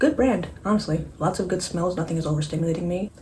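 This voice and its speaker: Against noticeable background noise, a woman with a fairly low pitch talks at a very fast pace. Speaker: beauty vlogger. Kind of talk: makeup tutorial vlog. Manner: animated.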